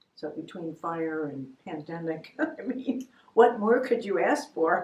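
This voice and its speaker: A woman's fairly low voice with an American accent, fairly slow pace, very wide pitch swings and big shifts in loudness. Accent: New Jersey accent, noticed by others. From New Jersey. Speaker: artist. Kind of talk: interview about her artwork. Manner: halting, many fillers.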